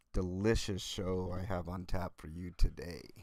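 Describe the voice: Speaking at a fairly slow pace, a man uses a low pitch, fairly even intonation and a slightly mellow tone.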